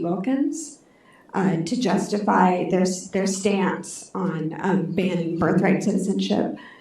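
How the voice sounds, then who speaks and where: Soft-spoken, a woman talks at a moderate pace with a medium pitch. Noticeable background noise and audible room echo surround her. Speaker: audience member asking a question. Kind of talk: audience question. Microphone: microphone held too far from mouth.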